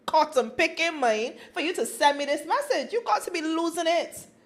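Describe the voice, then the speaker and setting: A woman with a Barbadian accent talks at a moderate pace in an animated tone, her extremely high pitch swinging very widely. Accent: Barbadian (Bajan). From Barbados. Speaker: podcast co-host. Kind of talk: casual chat.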